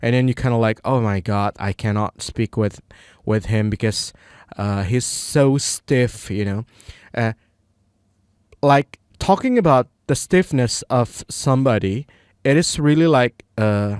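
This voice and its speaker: A man with an Indonesian accent speaks at a fairly slow pace. The sound is dry and close with no echo, on a very clean recording over a silent background. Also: medium pitch for a man, ordinary pitch variation. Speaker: English learner vlogger. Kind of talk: casual monologue. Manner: halting, many fillers.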